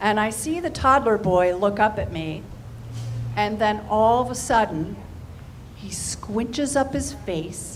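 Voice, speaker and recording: Over audible room echo, a woman with a fairly high pitch speaks fairly slowly with long, frequent pauses and very wide pitch swings. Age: 60s. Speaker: stand-up comedian. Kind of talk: stand-up.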